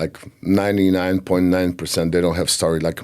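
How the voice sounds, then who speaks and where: A man with a Polish accent speaks at a very deep, low pitch. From Poland. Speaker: singer. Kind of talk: interview. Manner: halting.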